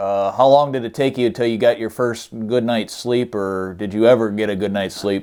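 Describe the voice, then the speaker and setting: At a moderate pace, a man speaks in a normal speaking voice at medium pitch. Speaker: interviewer, channel host. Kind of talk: interview questions.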